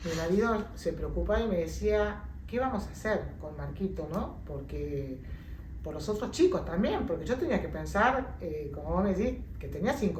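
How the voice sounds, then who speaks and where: A woman talks at a moderate pace, with audible room echo and noticeable background noise around her voice. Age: 60s. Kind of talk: interview testimony.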